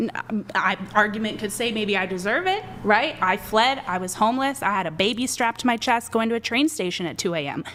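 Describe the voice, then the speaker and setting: A woman's fairly high voice runs at a fairly quick pace, her intonation lively, while noticeable background noise fills the clip. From Canada. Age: 20s. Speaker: men's rights advocate. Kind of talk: heated debate. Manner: animated.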